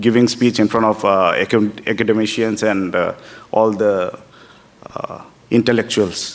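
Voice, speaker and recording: With a Northeast Indian accent, a man speaks at a fairly slow pace and fairly low pitch in a monotone, flat intonation, leaving long, frequent pauses. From Tripura, Northeast India. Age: 30s. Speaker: politician. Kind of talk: public speech. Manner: halting.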